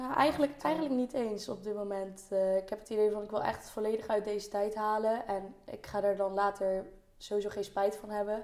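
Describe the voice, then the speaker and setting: A woman talks at a fairly quick pace in an ordinary speaking voice. Her pitch is medium and her intonation fairly even. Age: 20s. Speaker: university student. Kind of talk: casual chat.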